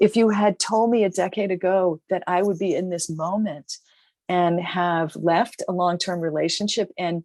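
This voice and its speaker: In an American accent, a woman speaks at a moderate pace with medium pitch and fairly even intonation, the sound dry and close with no echo against a quiet background. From US Northeast, Boston. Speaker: author and business founder. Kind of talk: interview. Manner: halting.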